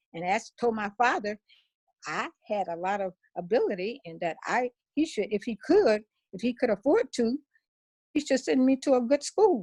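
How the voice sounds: A woman's fairly high, slightly mellow voice at a moderate pace, with lively intonation and a dry, close sound with no echo.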